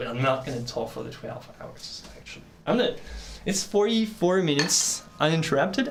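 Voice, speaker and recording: Over noticeable background noise and audible room echo, a man with a non-native accent talks at a moderate pace with lively intonation. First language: not English. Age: 30s. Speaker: painter and art teacher. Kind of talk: live stream chat while painting. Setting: live stream. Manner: halting.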